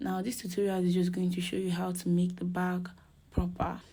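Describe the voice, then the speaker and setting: A soft-spoken woman talks at a moderate pace, and the room's echo is audible. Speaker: crochet tutorial maker. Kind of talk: tutorial.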